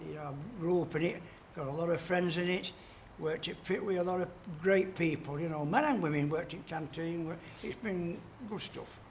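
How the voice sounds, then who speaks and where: In a South Yorkshire accent, a man talks at a fairly quick pace with a high pitch and fairly even intonation. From Yorkshire, Doncaster area. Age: 70s. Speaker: retired coal miner. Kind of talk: casual interview. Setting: portrait sculpting session.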